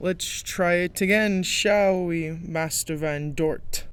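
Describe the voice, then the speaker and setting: A man speaks in a put-on character voice, high-pitched, with fairly even intonation at a very slow pace. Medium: fan dub. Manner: stern, scolding.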